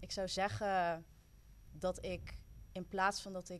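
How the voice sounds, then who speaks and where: Her pitch is fairly low. This woman talks at a very slow pace. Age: 20s. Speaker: youth worker and student. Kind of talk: casual chat.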